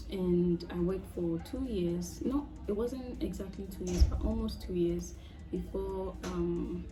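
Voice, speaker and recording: Music plays behind a woman speaking at a fairly slow pace. Room echo is audible. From Ghana. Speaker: international master's student. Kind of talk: interview.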